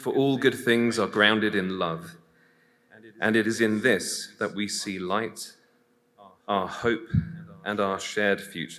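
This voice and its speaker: With an English accent, a man speaks at a fairly slow pace in a fairly low pitch, with a bright, sharp tone, fairly even intonation and long, frequent pauses. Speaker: priest. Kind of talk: prayer.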